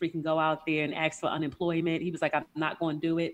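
A woman speaks with a New York accent. Her very deep, low pitch stays flat and monotone. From New York, Queens. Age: 40s. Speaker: lifestyle coach. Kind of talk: casual chat. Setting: remote recording from home.

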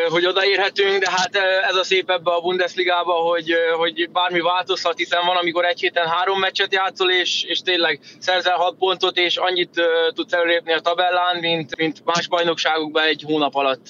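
This man talks at a fairly quick pace in a high pitch, his intonation flat and monotone. His loudness stays very even over noticeable background noise. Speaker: professional handball player. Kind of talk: interview.

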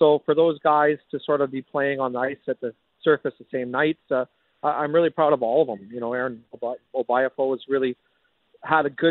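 A man speaks in an ordinary speaking voice, pitched fairly high. He talks at a fairly quick pace with fairly even intonation. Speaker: junior hockey general manager. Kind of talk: radio interview.

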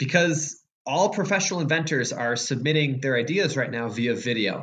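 With an American accent and lively intonation, a man talks at a fairly quick pace amid audible room echo. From Chicago. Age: 20s. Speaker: board game designer. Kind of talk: interview.

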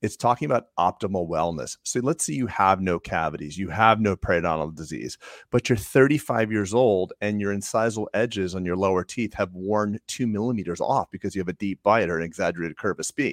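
A man talks at a fairly quick clip with hardly any pauses, his pitch fairly low and its variation ordinary. The recording is very clean and dry, close with no echo, over a silent background. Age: 50s. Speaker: dentist, podcast co-host. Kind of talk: casual chat. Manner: animated.

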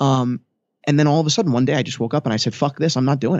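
A man with a New Jersey accent speaks in an animated tone. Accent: New Jersey American. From US Northeast (New Jersey suburbs). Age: 20s. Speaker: vintage watch dealer and founder. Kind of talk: interview conversation. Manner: animated, many repetitions and fillers.

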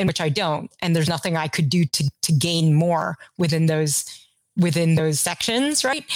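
A woman with an American accent speaks at a moderate pace in a fairly low voice, her pitch varying in an ordinary way. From US South, Kentucky. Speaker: artist. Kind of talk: interview conversation. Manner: halting, many fillers.

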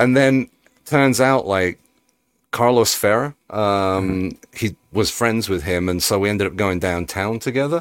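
With a slight Birmingham accent, a man talks at a fairly low pitch with ordinary pitch variation. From Birmingham, England. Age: 40s. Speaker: band member, musician. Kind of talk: casual chat.

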